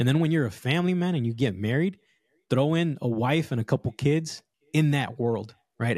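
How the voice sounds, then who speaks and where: A man's plain, everyday voice at a moderate pace, with ordinary pitch variation, dry, close sound with no echo and a very clean recording with a silent background. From Los Angeles, Southern California. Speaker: fatherhood coach. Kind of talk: casual interview chat.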